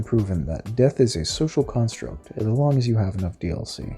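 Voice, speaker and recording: A man speaks in a fairly low pitch with lively intonation while music plays in the background. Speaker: game modder. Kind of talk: video game mod commentary narration.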